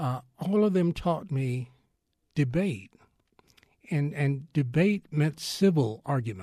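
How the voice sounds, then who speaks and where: A man with fairly high pitch and a dark, mellow tone speaks at a very slow pace, leaving long, frequent pauses. His voice is somewhat breathy and his intonation lively. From Texas, Fort Worth. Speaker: retired newspaper columnist and journalist. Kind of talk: interview.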